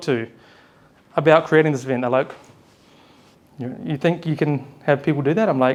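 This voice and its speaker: A man at a moderate pace with a New Zealand accent. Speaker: event host, personal leadership facilitator. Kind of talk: live event hosting speech. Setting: stage with live audience. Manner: animated.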